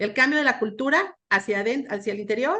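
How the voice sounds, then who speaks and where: Against a quiet background, a woman speaks at a moderate pace with fairly high pitch and lively intonation. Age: 60s. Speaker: panel expert on organizational change. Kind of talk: panel discussion. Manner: halting, many fillers.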